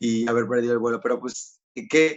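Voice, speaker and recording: A man speaks with a Spanish accent. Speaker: magician interviewer. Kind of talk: interview.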